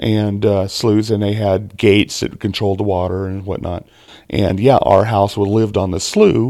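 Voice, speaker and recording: Against a silent background on a very clean recording, a man talks at a moderate pace with a fairly low pitch, a dark, mellow tone and fairly even intonation. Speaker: podcast guest, father of co-host. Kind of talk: casual chat. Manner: halting.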